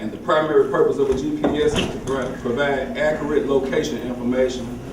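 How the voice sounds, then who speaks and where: A fairly high-pitched man's voice, with audible room echo and noticeable background noise. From Tennessee. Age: 30s. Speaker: motivational speaker. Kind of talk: motivational talk.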